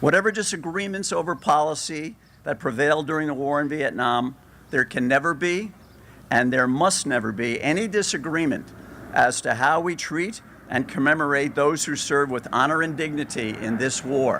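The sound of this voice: The man's tone is bright and sharp, with fairly high pitch. He keeps a moderate pace and ordinary pitch variation.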